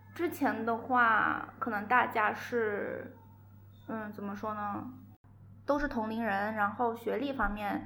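A woman's fairly high voice at a very slow pace, with fairly even intonation and audible room echo. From Guangzhou, southern China. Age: young. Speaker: coffee brand entrepreneur. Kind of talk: casual chat.

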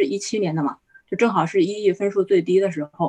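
The woman's speech moves at a very fast pace. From China. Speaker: skilled-worker immigrant. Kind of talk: panel discussion. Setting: video call.

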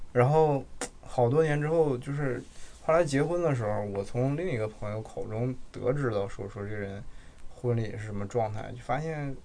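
Speaking in a northeastern Mandarin accent, a man has a dark, mellow tone at medium pitch with ordinary pitch variation. He talks at a moderate pace, and room echo is audible. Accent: noticeable northeastern Mandarin. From Jilin city, northeast China. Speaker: podcast co-host. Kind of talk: casual chat.

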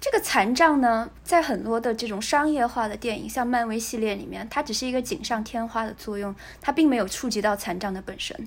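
This woman has an ordinary speaking voice, fairly high for a woman, with ordinary pitch variation, moving at a fairly quick pace with hardly any pauses. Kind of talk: casual chat.

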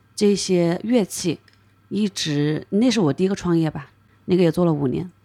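A woman with a dark, mellow tone and fairly low pitch speaks at a moderate pace with fairly even intonation on a very clean recording with a silent background. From China, Hunan. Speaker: craft brewery co-owner. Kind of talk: casual chat.

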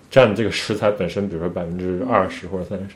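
A man is speaking. His pace is very fast. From China. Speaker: podcast co-host. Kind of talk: casual chat.

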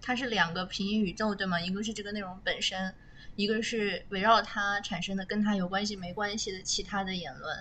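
Audible room echo surrounds a voice moving at a fairly quick pace with fairly even intonation. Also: woman, medium pitch for a woman. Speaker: podcast host. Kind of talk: casual chat. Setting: recording in a warehouse basement.

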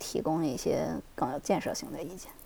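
A woman is speaking. Her pace is fairly quick. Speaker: software engineer, former UX designer. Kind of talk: interview. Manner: halting, many fillers.

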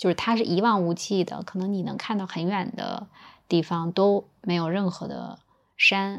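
A woman speaks at a moderate pace with a medium pitch and fairly even intonation. The recording is very clean, with a silent background. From Northeast China, Changchun. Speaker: podcast guest. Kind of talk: casual chat. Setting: recording while on a business trip in Hangzhou.

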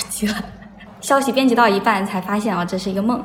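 A woman speaks at a very fast pace. Audible room echo surrounds her voice. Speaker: podcast guest. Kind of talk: casual chat.

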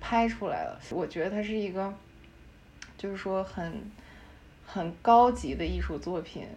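A woman's fairly slow speech with long, frequent pauses and audible room echo. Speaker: architecture industry professional. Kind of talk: casual chat.

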